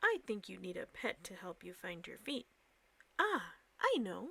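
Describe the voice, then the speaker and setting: A woman puts on a character voice and keeps a moderate pace. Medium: read story.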